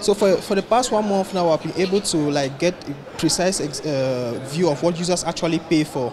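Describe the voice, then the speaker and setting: Here a man speaks in a high voice at a moderate pace with hardly any pauses. His pitch varies in an ordinary way, and noticeable background noise is present. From Cameroon. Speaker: tech startup founder. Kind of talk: interview. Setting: tech conference. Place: hall.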